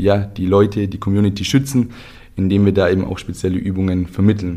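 A man talks at a fairly quick pace. His pitch is fairly low. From southern Germany, Ulm. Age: 30s. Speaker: football coaching company co-founder. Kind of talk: casual chat. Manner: animated.

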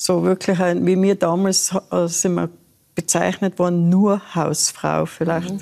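A woman's fairly low-pitched voice, dark and mellow in tone, at a fairly slow pace with very even loudness. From Austria, Tyrol. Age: 80s+. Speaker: retired solo backpack traveller. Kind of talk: talk show interview.

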